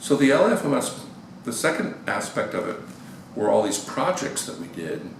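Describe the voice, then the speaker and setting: In a room with audible echo and noticeable background noise, a man with an American accent speaks at a fairly slow pace. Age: 60s. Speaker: experimental musician. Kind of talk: interview. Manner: hesitant, many fillers.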